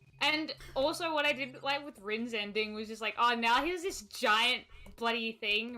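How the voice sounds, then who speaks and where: Music plays in the background. The speaker goes at a fairly slow pace with lively intonation. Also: woman. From Britain. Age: 20s. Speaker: gaming streamer guest. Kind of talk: casual chat. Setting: live stream. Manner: animated.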